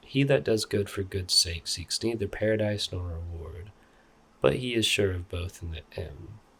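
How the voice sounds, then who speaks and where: Soft-spoken and relaxed, a man talks in a very deep, low voice whose loudness swings widely. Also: ordinary pitch variation, moderate pace, very clean recording, silent background. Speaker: art YouTuber / artist. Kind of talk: ASMR soft-spoken ramble reading an art book. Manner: soft-spoken, relaxed, casual.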